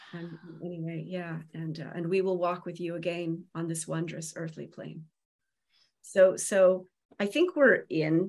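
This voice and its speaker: A woman's fairly low voice, a plain, everyday voice, with big swings in loudness and fairly even intonation. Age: 50s. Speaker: Celtic medicine woman and seer. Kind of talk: casual chat.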